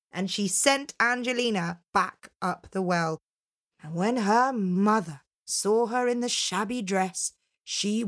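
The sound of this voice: The background here is quiet. Pitch varies in an ordinary way across an unforced reading voice.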